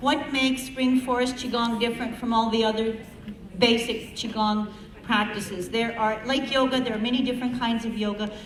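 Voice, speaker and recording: A woman talks at a fairly quick pace in a fairly high pitch with monotone, flat intonation, amid noticeable background noise and audible room echo. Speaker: qigong instructor. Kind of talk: talk to audience. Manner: projecting.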